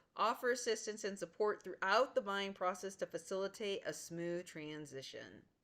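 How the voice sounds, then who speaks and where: Her pitch varies in a normal, ordinary way. The woman talks at a medium pitch. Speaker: college instructor. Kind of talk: lecture. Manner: fast.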